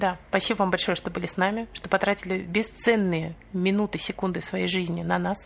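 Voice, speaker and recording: The pace from this woman is moderate. She talks with monotone, flat intonation. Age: 20s. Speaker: podcast co-host, mother on maternity leave. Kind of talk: casual chat.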